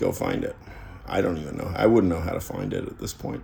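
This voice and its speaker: A man's voice with audible room echo. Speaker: YouTuber talking about philosophy. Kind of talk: casual monologue. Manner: halting.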